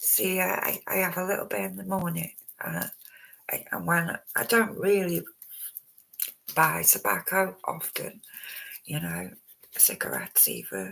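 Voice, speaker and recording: The speech comes out mumbled at a fairly slow pace. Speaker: true crime livestreamer. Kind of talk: live stream commentary. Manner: halting, many fillers; mumbling.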